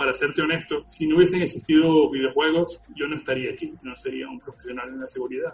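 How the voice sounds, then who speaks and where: A man at a fairly quick pace, fairly high in pitch, with fairly even intonation. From Venezuela. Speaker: digital forensic examiner. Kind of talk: interview.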